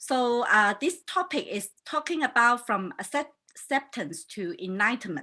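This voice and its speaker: Spoken in a Chinese accent, the bright, sharp voice makes very wide pitch swings at a fairly slow pace with hardly any pauses. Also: woman, high pitch for a woman. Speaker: life coach and hypnotherapist hosting a talk show. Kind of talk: casual online talk show introduction. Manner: hesitant, many fillers.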